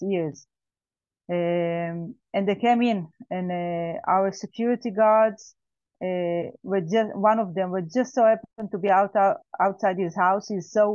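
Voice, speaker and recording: A woman with an Israeli accent, medium pitch, moderate pace, and fairly even intonation. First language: Hebrew. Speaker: survivor, farmer. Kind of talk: testimony. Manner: halting.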